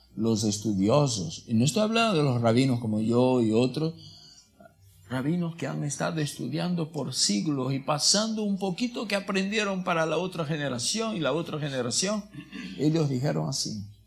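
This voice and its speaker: A man with a non-native accent speaks in a fairly high, somewhat breathy voice with very wide pitch swings, and audible room echo surrounds him. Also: moderate pace. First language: not Spanish (speaking Spanish). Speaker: rabbi. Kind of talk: sermon. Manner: halting, self-correcting.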